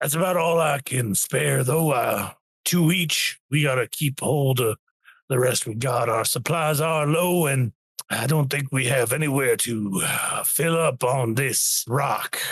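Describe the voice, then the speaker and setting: In a put-on character voice, a man speaks raspily at a medium pitch and a fairly slow pace, with ordinary pitch variation. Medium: actual play.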